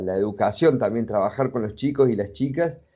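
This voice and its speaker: A man talks with lively intonation at a medium pitch. His is a normal speaking voice. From Argentina, Córdoba province. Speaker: multimedia designer and traveler. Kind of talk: interview.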